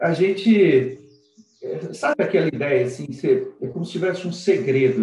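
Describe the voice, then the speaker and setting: Here a man speaks at a moderate pace. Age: 50s. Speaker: lawyer. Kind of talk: casual interview. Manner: animated.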